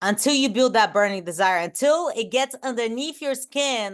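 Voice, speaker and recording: A woman talks loudly at a moderate pace with lively intonation and an animated tone against a quiet background. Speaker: online business coach. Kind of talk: team training.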